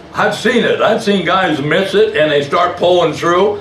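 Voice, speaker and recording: A man with a high pitch speaks at a moderate pace. The room echo is audible, with light background noise. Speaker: preacher. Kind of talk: sermon. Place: church.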